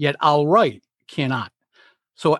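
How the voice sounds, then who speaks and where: A plain, everyday voice from a man with an American accent, fairly high in pitch, at a fairly slow pace, dry and close with no echo over a quiet background. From US Northeast, Providence, Rhode Island. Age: 60s. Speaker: public speaking coach. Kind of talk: interview.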